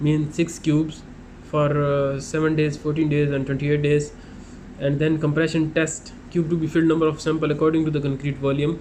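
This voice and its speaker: Audible room echo surrounds a man whose fairly high voice stays monotone and flat, with very even loudness throughout. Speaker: construction inspector explaining site work. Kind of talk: tutorial. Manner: halting, many fillers; fast.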